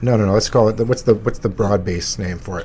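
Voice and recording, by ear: A man puts on a raspy character voice at a fairly low pitch. He rattles through it at a very fast pace.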